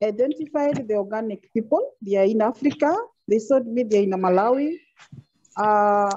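A woman with a dark, mellow tone and lively intonation at a moderate pace. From Kenya. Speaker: agribusiness owner. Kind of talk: video conference presentation. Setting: video call. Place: home room. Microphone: earbuds.

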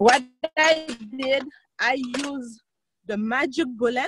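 Over light background noise, a woman with a high pitch and ordinary pitch variation is recorded with a dry sound and no echo. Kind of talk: tutorial. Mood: cheerful. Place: garden. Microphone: video call.

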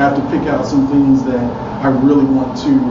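A man speaks amid loud background noise, with audible echo from the room. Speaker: conference speaker. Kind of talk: technical talk. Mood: casual, candid.

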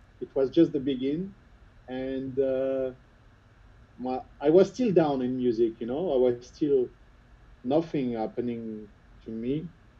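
A man with a French accent talks at a fairly slow pace, with ordinary pitch variation. He leaves long, frequent pauses. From France, Lyon suburbs; France. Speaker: house music producer and DJ; DJ. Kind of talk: interview. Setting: video call. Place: studio. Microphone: video call.

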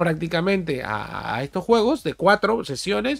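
A man talks at a fairly slow pace with faint music playing in the background. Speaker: gaming streamer. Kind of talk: game tutorial commentary.

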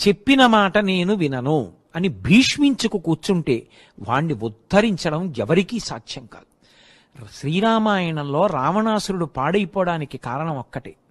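A man speaks in a high pitch with very wide pitch swings and big swings in loudness. The sound is dry and close with no echo, against a quiet background. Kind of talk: Telugu religious discourse (pravachanam).

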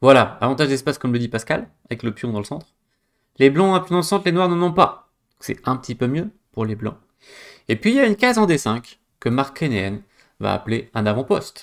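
Against a quiet background, a man with a fairly high pitch talks at a fairly quick pace, his pitch swinging very widely between long, frequent pauses. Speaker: chess coach and streamer; chess coach, streamer. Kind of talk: live stream game analysis. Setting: live stream with chat. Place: home room.

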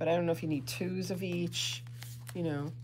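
An animated tone at a moderate pace over light background noise. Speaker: yarn shop owner and podcast host. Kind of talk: casual chat, live video show. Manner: chatty, animated, laughing. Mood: cheerful, chatty. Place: shop. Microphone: phone near.

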